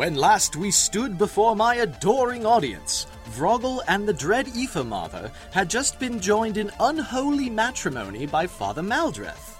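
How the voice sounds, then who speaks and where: Over clear background music, a man puts on a shrill character voice, pitched high for a man and delivered at a moderate pace. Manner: pompous, self-important storyteller.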